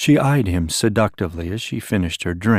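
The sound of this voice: Lively intonation in an unforced reading voice.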